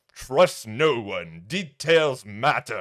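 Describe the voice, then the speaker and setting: Putting on a character voice, a man talks at a fairly high pitch with very wide pitch swings. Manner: conspiratorial, warning.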